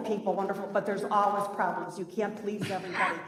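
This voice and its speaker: A woman with an American accent and a fairly high pitch is heard amid noticeable background noise and audible room echo. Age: 70s. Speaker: retired nurse, resident speaking at public hearing. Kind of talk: public comment at hearing. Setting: village plan commission meeting, PA microphone. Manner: halting, with many fillers and restarts.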